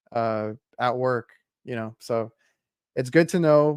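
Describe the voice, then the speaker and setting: With a South Texas accent, a man speaks at medium pitch in a dry, close sound with no echo, recorded very cleanly against a silent background. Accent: South Texas American English. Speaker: HVAC podcast host. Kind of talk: casual interview chat.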